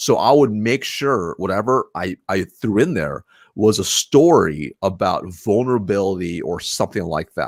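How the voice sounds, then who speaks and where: On a very clean recording with a silent background, a man with a fairly low pitch speaks at a moderate pace with hardly any pauses, lively intonation and an animated tone. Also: dry, close sound with no echo. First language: not English. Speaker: sales leader. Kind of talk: interview conversation. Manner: animated, repetitive restarts.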